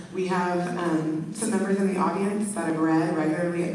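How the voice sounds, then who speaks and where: A woman talks in a fairly low pitch with fairly even intonation. Noticeable background noise and audible room echo are present. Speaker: school principal. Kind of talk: speech to club audience. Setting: club meeting with audience.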